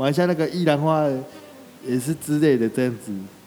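A man with a normal speaking voice talks at a fairly quick pace, his pitch fairly high with ordinary variation. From Taiwan, Shuangxi (New Taipei). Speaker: street vendor, wheelchair user. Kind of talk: interview.

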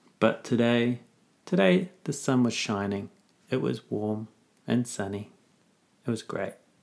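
A man speaks very slowly with a New Zealand accent, leaving long, frequent pauses. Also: medium pitch for a man, ordinary pitch variation. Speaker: teacher. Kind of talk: casual chat.

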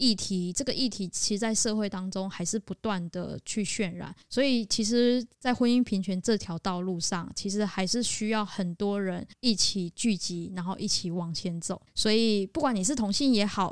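At a moderate pace and with hardly any pauses, the speaker has an unremarkable speaking voice. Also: woman, medium pitch for a woman, ordinary pitch variation. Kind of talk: casual chat, podcast interview.

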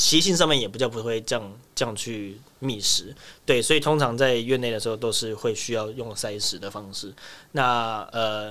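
Here a man uses an ordinary speaking voice at a medium pitch with ordinary pitch variation. The recording is very clean, with a silent background. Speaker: wildlife keeper. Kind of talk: interview.

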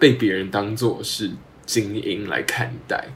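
Noticeable background noise surrounds a man whose voice sits at a medium pitch. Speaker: podcast host, university student. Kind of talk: casual chat.

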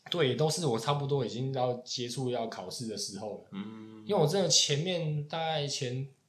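Hardly pausing, a man with a Taiwanese accent speaks at a moderate pace and medium pitch with ordinary pitch variation. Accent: Taiwanese Mandarin. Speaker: podcast host, chef. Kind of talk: casual chat.

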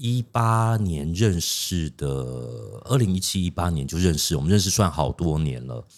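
The speech proceeds at a moderate pace, its intonation lively. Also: man, very deep, low pitch for a man. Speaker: podcast co-host. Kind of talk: interview.

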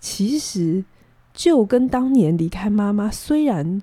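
Heard in a very clean recording against a silent background, the voice is somewhat breathy with a dark, mellow tone, very wide pitch swings, and a very slow pace. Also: woman. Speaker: psychologist. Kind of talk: advice-giving chat on a podcast. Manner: calm, measured with many fillers.

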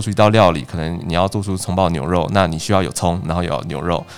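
A man at a very fast pace. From Taiwan, Changhua (Yuanlin). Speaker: trainee judicial officer. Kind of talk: interview.

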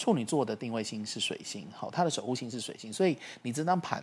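Lively intonation runs through an unremarkable speaking voice. The pace is fairly quick. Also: man. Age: 40s. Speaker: astrology teacher. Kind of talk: casual explanatory chat.

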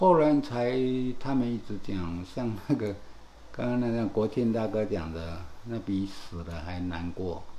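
Lively intonation from a man with a dark, mellow tone, fairly slow pace and audible room echo. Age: 60s. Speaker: burn survivor. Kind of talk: casual interview. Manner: halting.

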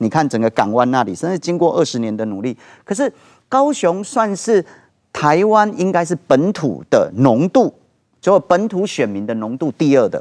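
In a dry, close sound with no echo and a quiet background, a man speaks at a fairly high pitch and a moderate pace, his pitch swinging very widely. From Taiwan, Kaohsiung. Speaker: political party founder and author. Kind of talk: TV political talk show discussion.

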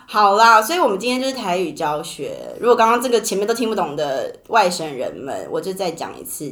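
The speaker talks at a moderate pace with lively intonation, and room echo is audible. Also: woman. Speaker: podcast host. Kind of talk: casual chat.

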